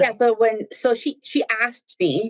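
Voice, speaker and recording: A woman speaks with a Spanish accent and ordinary pitch variation, the sound dry and close with no echo. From New Jersey, Spanish-speaking Dominican family. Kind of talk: casual interview chat.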